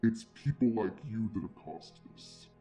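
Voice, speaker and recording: The speaker puts on a guttural character voice. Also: man, medium pitch for a man, moderate pace. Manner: accusing.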